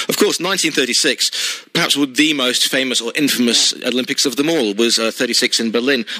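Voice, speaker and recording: Over noticeable background noise, a man speaks at a moderate pace and medium pitch with ordinary pitch variation and hardly any pauses. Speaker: radio interviewer. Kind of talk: interview.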